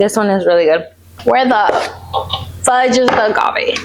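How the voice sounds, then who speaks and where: A woman talks fairly quickly with lively intonation and a relaxed tone. Noticeable background noise runs behind her. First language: Spanish. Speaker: lifestyle vlogger. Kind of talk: casual vlog talk. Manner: relaxed, chatty.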